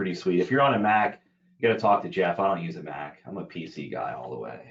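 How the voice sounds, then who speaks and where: Very fast and full of vocal fry, a man talks at a fairly low pitch with very wide pitch swings and big swings in loudness. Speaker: business development lead. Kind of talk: webinar software demo. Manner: casual, conversational.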